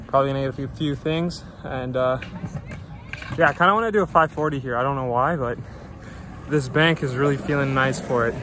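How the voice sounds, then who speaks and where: Delivery is fairly quick with fairly even intonation. Faint music plays in the background, and the sound is dry with no echo. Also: man. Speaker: BMX rider vlogger. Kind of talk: casual vlog. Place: open country. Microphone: phone near.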